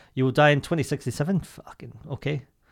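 The recording is very clean with a silent background. Pitch varies in an ordinary way. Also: man. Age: 30s. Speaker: podcast co-host. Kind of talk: casual chat.

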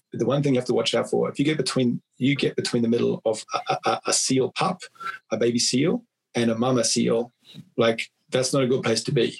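The voice shows vocal fry and ordinary pitch variation at a fairly quick pace. The sound is dry and close, with no echo. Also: man, medium pitch for a man. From New Zealand. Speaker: bodywork therapist and coach. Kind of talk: casual interview chat. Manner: hesitant, repeats words.

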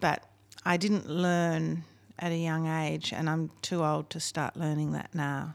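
Speaking with an Australian accent, a woman uses a very deep, low pitch in a monotone, flat delivery at a fairly slow pace. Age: 50s. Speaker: singer-songwriter and music producer. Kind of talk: casual chat.

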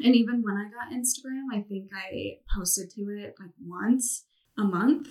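A woman with an American accent speaks at a moderate pace in a normal speaking voice, her pitch varying in an ordinary way. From Colorado, US. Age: 20s. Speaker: podcast guest. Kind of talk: casual chat.

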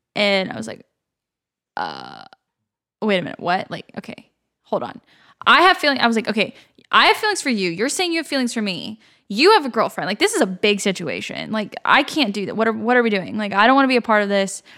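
A woman speaks very fast in a fairly high, bright, sharp voice with lively intonation and vocal fry. The recording is very clean, with a silent background. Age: 20s. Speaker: podcast guest. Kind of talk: casual chat.

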